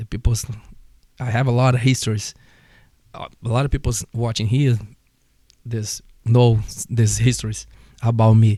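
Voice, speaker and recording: With a Portuguese accent, a man speaks at a moderate pace and medium pitch, his dark, mellow tone somewhat breathy, his intonation fairly even, in a dry, close sound with no echo. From Brazil. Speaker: martial arts instructor. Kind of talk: casual chat.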